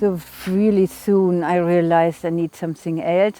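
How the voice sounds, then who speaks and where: A woman speaks at a moderate pace in a German accent. Her fairly low voice stays monotone and flat. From Germany. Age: 50s. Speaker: cancer survivor, patient. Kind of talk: testimony.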